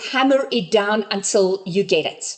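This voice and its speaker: A woman speaks with a non-native accent. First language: not English. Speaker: business coach. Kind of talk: online workshop session. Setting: group video call.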